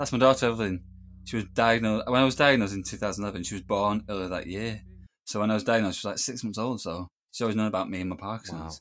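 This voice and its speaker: Speaking at a very fast pace, a man has a northern English accent and ordinary pitch variation. The recording is very clean, with a silent background. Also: fairly low pitch for a man. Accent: northern English (Greater Manchester). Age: 30s. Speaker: filmmaker, composer and Parkinson's advocate. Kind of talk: casual interview chat.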